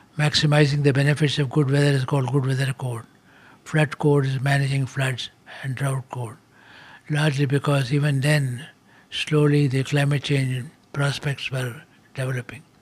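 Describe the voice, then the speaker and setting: A man's fairly high, somewhat breathy voice at a moderate pace, monotone and flat, with long, frequent pauses. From Kerala, India. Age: 80s+. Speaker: agriculture scientist. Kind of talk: interview answer.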